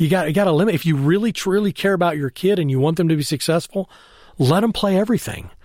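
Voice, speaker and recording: A man's speech shows ordinary pitch variation on a very clean recording with a silent background. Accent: Texan. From Texas (Temple). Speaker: baseball scout executive. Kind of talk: interview. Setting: in person, Austin, Texas.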